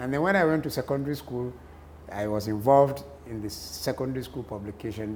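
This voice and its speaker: This man talks at a very fast pace with lively intonation. He has a northern Nigerian accent. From northern Nigeria, Kano. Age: 60s. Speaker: journalist and columnist. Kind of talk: interview.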